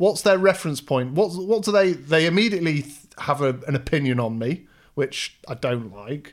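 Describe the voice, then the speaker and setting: With an English accent, a man speaks at a moderate pace in a fairly high voice with lively intonation. The recording is very clean, with a silent background. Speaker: host's husband. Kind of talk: casual chat.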